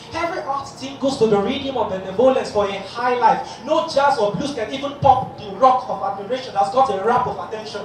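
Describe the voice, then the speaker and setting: Lively intonation runs through fast-moving speech with hardly any pauses, set against noticeable background noise. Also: man, extremely high pitch for a man. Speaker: spoken word poet. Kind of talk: spoken word poetry performance. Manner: high-energy, rhythmic, oratorical delivery.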